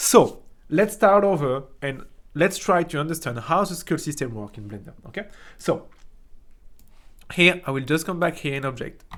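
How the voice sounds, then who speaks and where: Speaking with a strong French accent, a man moves at a moderate pace with lively intonation and long, frequent pauses. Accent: thick French. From France. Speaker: 3D art teacher. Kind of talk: tutorial. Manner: casual, halting with many fillers.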